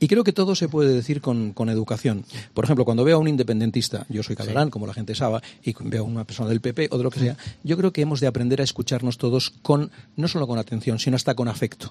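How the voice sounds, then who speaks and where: Talking at a very fast pace, a man with a medium pitch has a dark, mellow, somewhat breathy tone and ordinary pitch variation. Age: old. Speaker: comedian and TV presenter. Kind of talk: radio interview.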